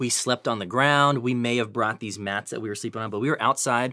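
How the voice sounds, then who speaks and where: A man with an American accent speaks at a moderate pace with medium pitch and fairly even intonation. His tone is bright and sharp on a very clean recording with a silent background. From Northern California. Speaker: student missions leader, former youth pastor. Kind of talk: interview.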